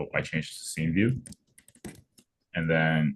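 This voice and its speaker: This man has a very deep, low pitch with vocal fry. He talks at a moderate pace with ordinary pitch variation. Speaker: coding tutor. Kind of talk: tutorial. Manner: casual, hesitant with fillers.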